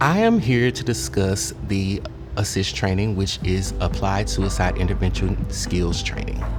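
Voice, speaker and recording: A man speaks fairly slowly while music runs in the background. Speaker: youth programs director and suicide prevention trainer. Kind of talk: interview answer. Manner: earnest, hesitant with filler words.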